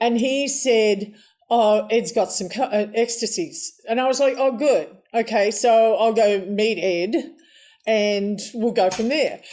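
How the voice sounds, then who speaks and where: A woman with an Australian accent speaks at a fairly slow pace in a dark, mellow tone. Her pitch is fairly high, with ordinary pitch variation. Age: 70s. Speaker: interview guest. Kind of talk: casual interview storytelling.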